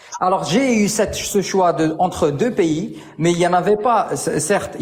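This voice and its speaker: Amid noticeable background noise, a man with a non-native accent speaks at a high pitch with ordinary pitch variation. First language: not French (speaking French). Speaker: debate participant. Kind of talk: heated debate. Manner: halting.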